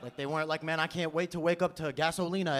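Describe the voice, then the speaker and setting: Over noticeable background noise, a man with an American accent talks at a very fast pace and a fairly high pitch. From New York City (Brooklyn). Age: 20s. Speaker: stand-up comedian. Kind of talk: stand-up comedy set. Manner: casual, conversational.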